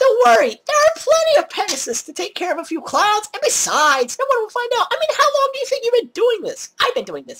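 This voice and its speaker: A woman in a put-on character voice squeaks out her words at an extremely high pitch, very fast and with hardly any pauses. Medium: read story. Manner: bubbly, sing-song.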